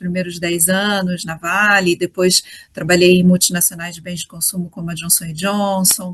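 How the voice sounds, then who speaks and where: Somewhat breathy and monotone, a woman speaks in a Rio de Janeiro accent with flat intonation. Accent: carioca. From Rio de Janeiro, Brazil. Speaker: HR executive. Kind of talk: interview.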